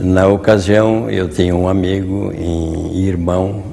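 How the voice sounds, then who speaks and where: The pace is very slow. Audible room echo surrounds the voice. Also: man. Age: 80s+. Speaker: retired Masonic grand master. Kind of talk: interview storytelling. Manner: halting, with repetitions.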